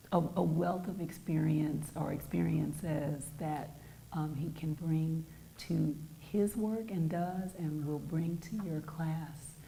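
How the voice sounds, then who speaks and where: Very slow, very deep and low woman's voice with fairly even intonation, audible room echo and noticeable background noise. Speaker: poet. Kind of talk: poetry reading.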